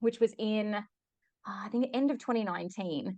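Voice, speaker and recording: With an Australian accent, a woman speaks at a fairly high pitch with lively intonation. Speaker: human design teacher. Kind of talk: podcast interview.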